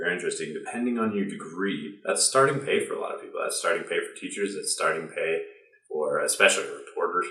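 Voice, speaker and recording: An American-accented man talks at a very fast pace, with audible room echo around his voice. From US Midwest (Ohio). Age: 20s. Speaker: video creator. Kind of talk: explainer vlog.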